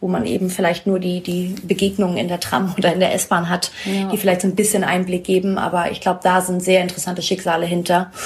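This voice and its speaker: A woman speaks at a very fast pace in a medium pitch. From northern Germany, Schleswig-Holstein. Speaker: interviewee. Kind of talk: casual interview.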